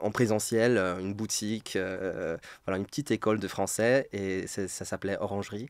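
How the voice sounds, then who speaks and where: A man with a Polish accent talks at a fairly slow pace and fairly low pitch, with fairly even intonation. The recording is very clean with a silent background. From Poland. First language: Polish (speaking French). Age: 30s. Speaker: French teacher. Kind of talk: interview. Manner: hesitant, many repetitions.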